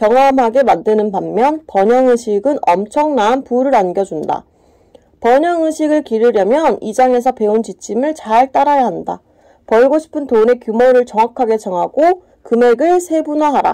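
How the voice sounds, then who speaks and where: A woman speaks at a high pitch and a fairly slow pace. Her tone is dark and mellow, with lively intonation. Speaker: book reader. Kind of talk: self-help book reading.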